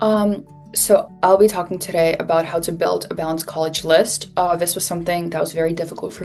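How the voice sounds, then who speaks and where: Over music in the background, a woman rattles along at a very fast pace in a fairly low pitch with monotone, flat intonation. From Switzerland. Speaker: college student mentor. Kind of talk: webinar presentation.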